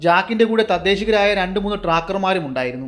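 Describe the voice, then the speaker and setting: Over music in the background, a man speaks in a high voice with lively intonation. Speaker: storyteller. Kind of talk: hunting story narration.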